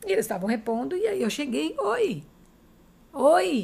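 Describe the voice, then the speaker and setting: This is a woman speaking. Her pitch is high. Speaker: podcast host. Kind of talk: podcast interview.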